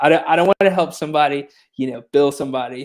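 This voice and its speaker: A man with a slight country accent and ordinary pitch variation. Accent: slight country twang. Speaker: tech startup co-founder, former court administrator. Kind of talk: interview. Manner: casual, many fillers and repetitions.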